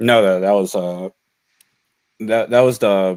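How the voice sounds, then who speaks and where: With an American accent, a man speaks at a very deep, low pitch and a fairly slow pace, using ordinary pitch variation. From Chicago, US Midwest. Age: 30s. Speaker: card game pro player. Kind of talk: casual interview.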